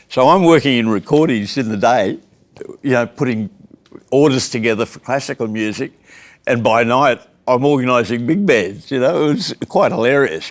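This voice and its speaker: In an Australian accent, a man speaks with lively intonation. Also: medium pitch for a man, moderate pace. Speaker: jazz musician. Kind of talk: casual chat. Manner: animated.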